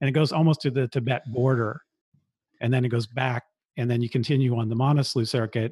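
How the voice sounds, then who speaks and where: With a Californian accent, a man talks at a very fast pace in a somewhat breathy, monotone, flat delivery at very even loudness, the sound dry and close with no echo over a quiet background. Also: medium pitch for a man. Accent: Californian American English. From US West Coast, San Francisco Bay Area. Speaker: podcaster and backpacker. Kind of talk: interview conversation.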